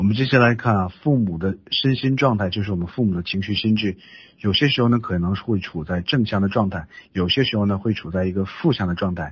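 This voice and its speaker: A man talks at a very fast pace in a somewhat breathy voice, with ordinary pitch variation against a quiet background. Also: fairly low pitch for a man. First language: Chinese. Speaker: interpreter. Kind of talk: interpreting a lecture.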